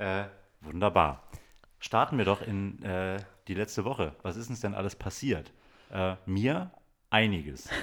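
This man's voice sits at a very deep, low pitch and carries vocal fry. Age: 40s. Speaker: podcast co-host, DJ and TV worker. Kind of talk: casual chat. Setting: home recording with baby sleeping on his chest.

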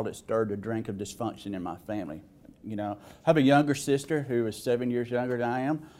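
In a Southern US accent, a man with a medium pitch and ordinary pitch variation talks at a fairly quick pace. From Alabama, US South. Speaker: person in recovery sharing story. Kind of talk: testimony. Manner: hesitant, filler-heavy.

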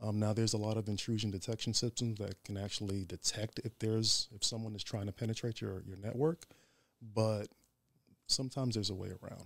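A man with a fairly low pitch uses an ordinary speaking voice at a fairly quick pace, with fairly even intonation. The recording is very clean, dry and close, with no echo and a silent background. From Staten Island, New York. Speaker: Ifa priest. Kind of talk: interview.

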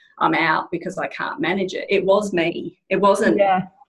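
A woman with an Australian accent talks at a moderate pace, her intonation fairly even. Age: 40s. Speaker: general manager of a natural health company. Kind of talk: casual chat.

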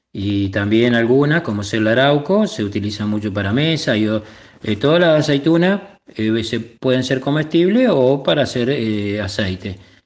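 A man's medium-pitched voice at a fairly slow pace, with hardly any pauses and a quiet background. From Argentina, Córdoba province (Etruria). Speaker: cook and olive grower. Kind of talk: interview testimony. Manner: halting, many fillers.

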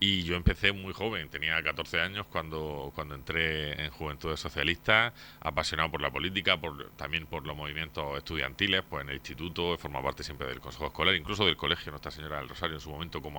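With hardly any pauses, a man rattles along at a very fast pace in a very deep, low voice with vocal fry and ordinary pitch variation. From Torre Pacheco, Murcia, Spain. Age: 30s. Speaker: mayoral candidate, politician. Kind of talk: radio interview.

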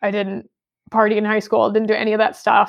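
This woman has a fairly high pitch and vocal fry. She speaks with an American accent in a monotone, flat intonation. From US Midwest (Michigan, then St. Louis area). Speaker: high school Bible teacher. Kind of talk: casual interview.

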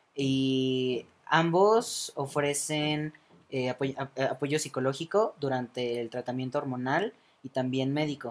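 At a fairly slow pace, a man with a plain, everyday voice speaks at a fairly high pitch with ordinary pitch variation. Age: 20s. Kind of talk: casual interview. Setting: studio with small live audience.

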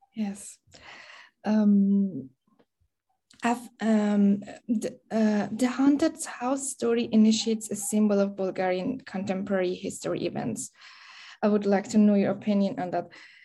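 Speaking fairly slowly with long, frequent pauses, a woman uses a somewhat breathy, dark, mellow tone at a medium pitch with ordinary pitch variation. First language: Persian. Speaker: interviewer. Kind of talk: interview questions. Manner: halting, with frequent fillers.

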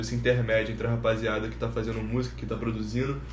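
Audible room echo surrounds the man as he rushes along at a very fast pace. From Rio de Janeiro (Ilha do Governador, Nova Iguaçu). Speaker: podcast host. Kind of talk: casual chat.

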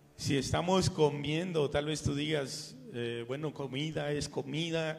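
At a fairly slow pace, a man talks in an ordinary speaking voice, fairly high in pitch with ordinary pitch variation. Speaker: pastor. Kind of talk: sermon. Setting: church. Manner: fervent, pleading, slow, with pauses and repeated 'Señor'.

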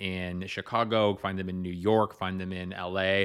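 On a very clean recording with a silent background, a man speaks at a fairly slow pace in a fairly low voice. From rural Canada, small farming community. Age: 30s. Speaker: writer and activist. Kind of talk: casual chat. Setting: studio microphones with pop filters. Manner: loud, boisterous.

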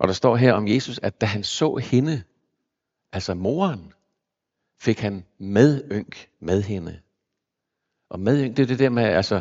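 A man's voice at a medium pitch. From Zealand, Denmark (Copenhagen area). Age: 60s. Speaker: pastor. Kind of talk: sermon. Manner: halting.

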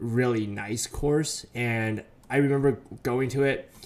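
Ordinary pitch variation marks a normal speaking voice with an American accent. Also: man. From US West Coast. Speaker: podcast co-host. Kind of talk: casual chat.

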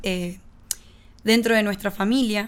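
A woman's fairly high voice with a Uruguayan accent, fairly even in intonation, at a moderate pace over a very clean recording with a silent background. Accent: Rioplatense Spanish (Uruguayan). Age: 20s. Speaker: podcast host, personal development coach. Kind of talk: instructional monologue.

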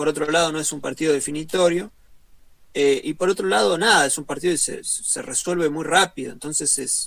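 A man with a Rioplatense accent speaks at a high pitch. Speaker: football stream co-host. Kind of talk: casual chat. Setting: online group call.

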